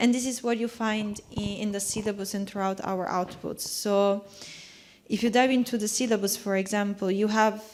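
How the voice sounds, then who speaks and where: A woman speaks in a monotone, flat intonation with a non-native accent and a fairly high pitch. Noticeable background noise is present. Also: moderate pace. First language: not English. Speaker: panel contributor. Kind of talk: panel discussion. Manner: halting, with false starts.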